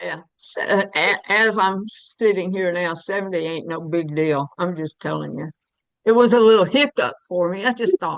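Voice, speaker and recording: In a Southern US accent, a woman talks at a moderate pace with lively intonation and big swings in loudness. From US South, Alabama. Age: 70s. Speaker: jail ministry volunteer. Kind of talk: casual chat.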